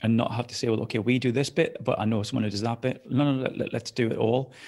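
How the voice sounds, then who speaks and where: Very fast pace with monotone, flat intonation. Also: man. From northeast England, South Shields. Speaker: business owner and podcast host. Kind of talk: interview.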